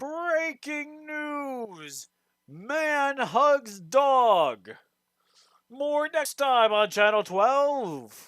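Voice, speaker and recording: A man puts on a character voice at an extremely high pitch. He speaks very slowly. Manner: dramatic, over-the-top.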